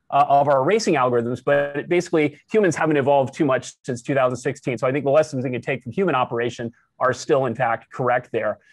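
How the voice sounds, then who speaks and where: With music playing behind him, a man talks at a very fast pace with ordinary pitch variation, and the sound is dry with no echo. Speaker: professor giving workshop talk. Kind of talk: lecture.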